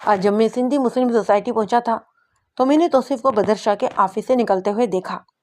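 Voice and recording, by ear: Someone reads a passage aloud in a natural voice while the background stays quiet.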